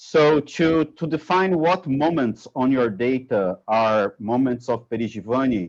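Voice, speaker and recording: A man's lively intonation in a Portuguese accent. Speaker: researcher. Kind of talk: academic Q&A discussion. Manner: halting.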